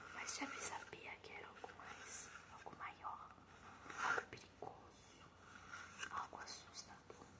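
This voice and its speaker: Amid noticeable background noise, a woman whispers at a very slow pace with long, frequent pauses. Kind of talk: ASMR horror story narration. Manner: soft-spoken, whispery ASMR delivery.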